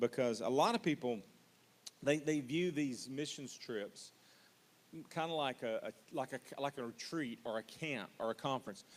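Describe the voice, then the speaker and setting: The speaker is a man with a medium pitch. His pitch variation is ordinary. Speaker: missions pastor. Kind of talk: orientation talk. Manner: fast.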